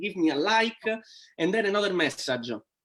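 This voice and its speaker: Here a man talks in an Italian accent. His pace is moderate. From Italy. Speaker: network marketing entrepreneur. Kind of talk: interview. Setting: live stream video call. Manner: halting.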